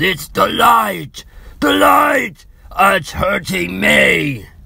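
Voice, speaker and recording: Putting on a shrill, raspy character voice, a man speaks at a very slow pace with a fairly high pitch. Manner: shrieking in terror and pain.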